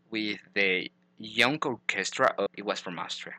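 Against a quiet background and in a dry, close sound with no echo, a man with a Spanish accent speaks at a moderate pace with a bright, sharp tone and ordinary pitch variation. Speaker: podcast host. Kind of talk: interview.

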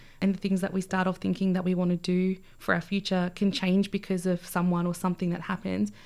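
A woman with an Australian accent at a medium pitch, very fast and with hardly any pauses, flat and monotone, her loudness very even. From Australia (Albury, then Canberra), born in Fiji. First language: Fijian language (learned English as a child). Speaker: community organisation manager. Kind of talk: interview.

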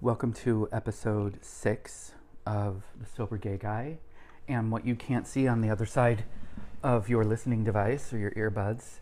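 In a normal speaking voice, the talker keeps a moderate pace and fairly even intonation. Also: man, medium pitch for a man. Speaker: podcast host. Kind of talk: casual interview chat. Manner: joking, playful.

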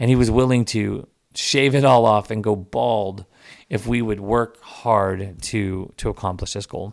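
On a very clean recording with a silent background, a man with an American accent speaks fairly slowly at a fairly low pitch with fairly even intonation. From Texas, Dallas-Fort Worth area. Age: 30s. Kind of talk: personal storytelling monologue. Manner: halting, many repetitions and fillers.

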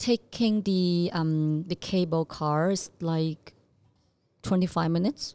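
A woman's fairly low, dark and mellow voice with a Chinese accent, ordinary pitch variation, a very slow pace, long frequent pauses, and a dry, close sound with no echo. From southern China (Zhanjiang, Guangdong). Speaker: fashion company executive. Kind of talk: casual interview chat.

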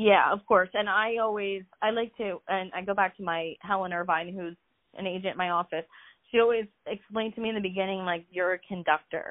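A woman with an American accent speaks at a fairly quick pace in a plain, everyday voice, her medium pitch carried by fairly even intonation. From US Northeast, Philadelphia. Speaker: real estate agent. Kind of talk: interview.

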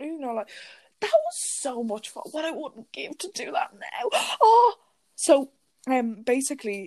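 In an Irish accent, the voice moves at a fairly slow pace with long, frequent pauses, very wide pitch swings and big swings in loudness. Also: woman, high pitch for a woman. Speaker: podcast co-host. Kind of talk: casual chat.

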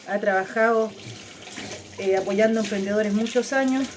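A woman's fairly high voice in a Chilean accent, with ordinary pitch variation and a fairly slow pace, against noticeable background noise. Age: 40s. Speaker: podcast host. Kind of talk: casual monologue.

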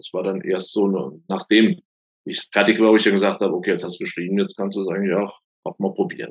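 A man talking at a very fast clip. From Rheinhessen, Germany. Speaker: thriller author and career coach. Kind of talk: interview. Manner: hesitant, many fillers.

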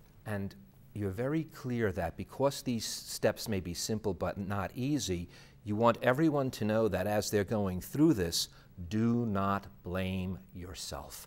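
A plain, everyday voice with lively intonation moves at a fairly slow pace in a very clean recording with a silent background. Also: man, fairly low pitch for a man. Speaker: interviewer. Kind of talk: interview. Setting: studio.

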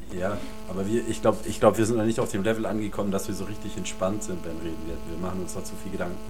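With music in the background and audible room echo, a man with a very deep, low voice talks at a very fast pace with ordinary pitch variation. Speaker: podcast co-host. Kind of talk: casual chat. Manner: animated.

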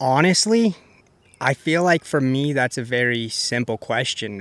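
A plain, everyday voice with an American accent talks at a fairly slow pace, in a dry, close sound with no echo. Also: man. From Colorado. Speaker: professional disc golfer. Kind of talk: casual interview chat.

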